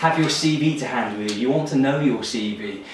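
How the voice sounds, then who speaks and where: A man's medium-pitched voice with lively intonation, audible room echo and noticeable background noise. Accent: English. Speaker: recruitment business owner giving career advice. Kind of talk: advice monologue to camera.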